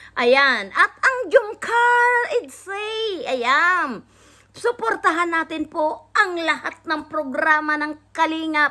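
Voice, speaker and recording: A woman projects a raised voice at an extremely high pitch, bright and sharp in tone, with very wide pitch swings. She speaks at a very slow pace on a very clean recording with a silent background. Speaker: vlogger reacting to videos. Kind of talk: casual reaction vlog.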